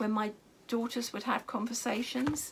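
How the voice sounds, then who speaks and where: This is a woman speaking. Her voice is high-pitched. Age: 60s. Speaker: craft and lifestyle vlogger. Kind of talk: casual vlog monologue. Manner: hesitant, many fillers.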